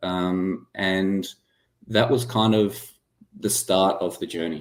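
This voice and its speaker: Over a very clean recording with a silent background, a man speaks with a very deep, low pitch. His pace is very slow, with ordinary pitch variation. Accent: Australian. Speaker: medtech startup founder and former aerospace engineer. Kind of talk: interview.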